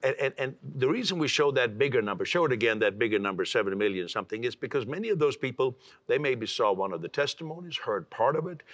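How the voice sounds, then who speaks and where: A man at a medium pitch, very fast pace and very wide pitch swings. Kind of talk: TV talk show interview.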